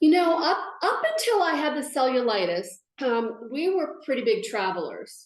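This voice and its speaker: A woman's lively intonation at a moderate pace, with audible room echo. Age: 60s. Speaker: patient sharing her story. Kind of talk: interview testimony. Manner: halting.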